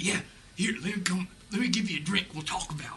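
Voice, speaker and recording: Putting on a raspy character voice, a man talks at a very fast pace and a high pitch with ordinary pitch variation, with clear background noise behind him. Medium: stage play.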